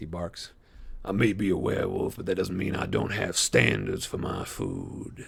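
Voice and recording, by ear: The speaker reads aloud in a natural voice. The text is delivered as a reading.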